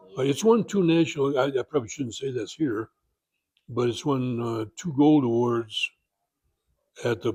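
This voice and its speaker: A man with a medium-pitched, dark, mellow, somewhat breathy voice speaks at a moderate pace with ordinary pitch variation and long, frequent pauses, in a dry, close sound with no echo. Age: 80s+. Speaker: car owner and enthusiast. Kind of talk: interview. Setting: convention. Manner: halting.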